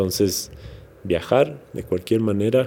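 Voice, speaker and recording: A man's voice sits at a very deep, low pitch with a dark, mellow tone. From Ecuador, Quito (highlands), Manabí family. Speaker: musician and actor. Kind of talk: interview. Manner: halting with repetitions.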